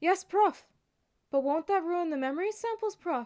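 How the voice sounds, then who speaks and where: A woman puts on a character voice with an extremely high pitch, speaking at a moderate pace. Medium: read story.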